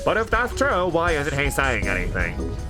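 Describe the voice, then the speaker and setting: A man's nasal, put-on character voice at a moderate pace, with loud music in the background. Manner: mocking.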